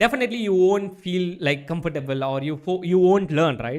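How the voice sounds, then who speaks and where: At a very fast pace, a man talks with a high pitch. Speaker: online course instructor. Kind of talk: live online class. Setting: livestream with live chat.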